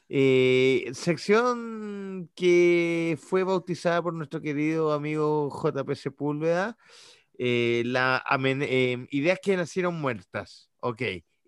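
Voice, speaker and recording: Against a quiet background, a man talks at a very slow pace with lively intonation and a fairly high pitch. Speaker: podcast co-host. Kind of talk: casual chat.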